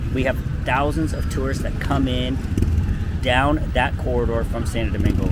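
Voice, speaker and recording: Loud background noise surrounds a man's voice, though the sound itself is dry with no echo. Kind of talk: casual promotional walk-and-talk. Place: street. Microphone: lapel.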